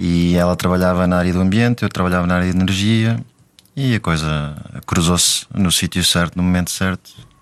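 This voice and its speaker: With a very deep, low pitch, a man speaks at a fairly quick pace, his loudness very even and his intonation fairly even. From Africa. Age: 30s. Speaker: married father of five. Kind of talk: casual interview conversation. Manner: halting.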